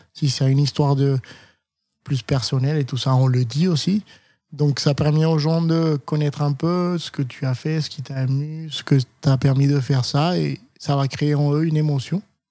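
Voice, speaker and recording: Speaking at a moderate pace, a man uses fairly even intonation, his fairly high voice dark and mellow in tone. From Colombia, Cali. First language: Spanish (speaking French). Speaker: chef. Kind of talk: interview. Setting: in his restaurant.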